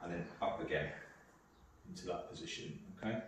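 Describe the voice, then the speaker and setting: Strong room echo surrounds a man's voice. Light background noise is also present. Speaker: exercise class instructor. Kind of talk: exercise class instruction. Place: home room. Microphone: camera far.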